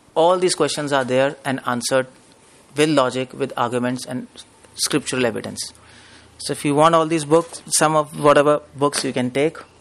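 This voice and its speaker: This man's pitch sits fairly high. His intonation stays fairly even. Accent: Indian. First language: Hindi. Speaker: spiritual preacher. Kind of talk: lecture. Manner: fast.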